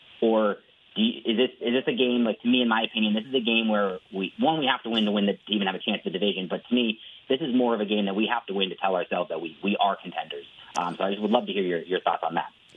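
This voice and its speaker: Over noticeable background noise, a man talks very fast at medium pitch. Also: ordinary pitch variation. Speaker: caller. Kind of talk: phone-in sports talk. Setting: phone call.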